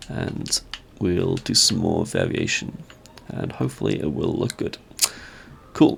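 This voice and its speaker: Through noticeable background noise comes a man's croaky voice. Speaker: Minecraft content creator. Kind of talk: casual gameplay commentary.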